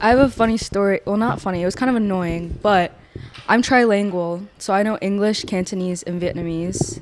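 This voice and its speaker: Over noticeable background noise, a woman talks at a fairly quick pace and a medium pitch with ordinary pitch variation. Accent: American. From Virginia, US. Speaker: podcast co-host, college student. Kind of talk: casual chat.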